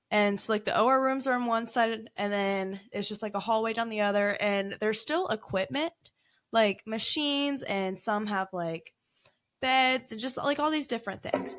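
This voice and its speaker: The speech has an animated tone and a moderate pace. The recording is very clean, with a silent background. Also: woman, fairly high pitch for a woman, lively intonation. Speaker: paranormal investigator. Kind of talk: casual chat. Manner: loud.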